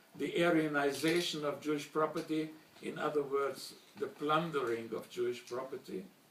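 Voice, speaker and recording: A man with a German accent at a moderate pace, fairly high pitch and fairly even intonation, over noticeable background noise. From Slovakia, Bratislava (then Czechoslovakia), later Hungary. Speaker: Holocaust survivor. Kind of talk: testimony speech. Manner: formal.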